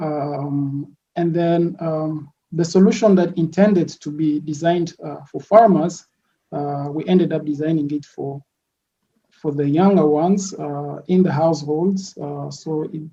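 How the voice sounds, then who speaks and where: Fairly slow and fairly even in intonation, a man talks in a dark, mellow tone at a fairly high pitch, with big swings in loudness. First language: French. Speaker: product designer, entrepreneur. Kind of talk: podcast interview. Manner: hesitant, many fillers.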